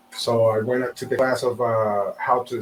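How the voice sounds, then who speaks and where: A man with a strong South American accent speaks in a monotone, flat intonation. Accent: thick South American Spanish. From Venezuela. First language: Spanish. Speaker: real estate agent. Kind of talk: interview.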